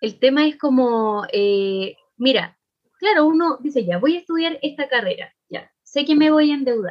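Speaking fairly slowly with a Chilean accent, the voice swings very widely in pitch. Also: woman, high pitch for a woman. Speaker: podcast co-host. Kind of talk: casual chat.

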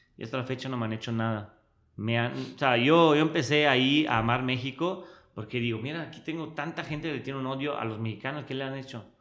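A man with a Monterrey accent, very fast pace and ordinary pitch variation. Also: medium pitch for a man. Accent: sounds very local to Monterrey. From Switzerland. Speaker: social media influencer. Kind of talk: casual interview.

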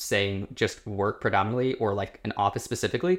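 A man with an American accent and a fairly low pitch, ordinary pitch variation and a moderate pace, on a very clean recording with a silent background. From United States. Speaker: podcast co-host. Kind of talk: casual chat. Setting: in a home in Oslo, on a sofa.

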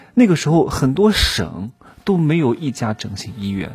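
A man talks at a moderate pace, his pitch swinging very widely. Noticeable background noise is present. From Anhui, southern (Wannan). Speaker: podcast host, self-improvement coach. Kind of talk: casual monologue with storytelling. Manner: casual, with frequent fillers and laughs.

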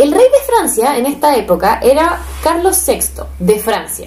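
A woman speaks in a Chilean accent. Her pitch makes very wide swings. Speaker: podcast co-host. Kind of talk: casual storytelling. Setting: home living room. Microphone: cheap microphone.

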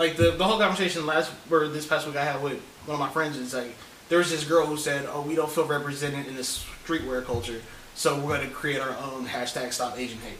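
A man talks very fast in a fairly high voice. Noticeable background noise sits behind him. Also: ordinary pitch variation. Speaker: co-host. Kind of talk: casual chat.

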